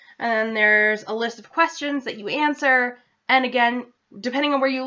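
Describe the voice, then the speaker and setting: Her bright, sharp tone sits high for a woman, and she speaks with an American accent and ordinary pitch variation. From central Massachusetts. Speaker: vlogger. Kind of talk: casual vlog. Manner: loud; fast.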